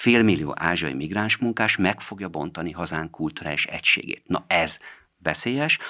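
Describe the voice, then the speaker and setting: Against a quiet background, a man with a very deep, low pitch and a bright, sharp tone speaks at a moderate pace with lively intonation. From Hungary. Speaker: politician, member of parliament; politician. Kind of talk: radio interview answering listener questions. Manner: formal. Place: studio. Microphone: studio mic.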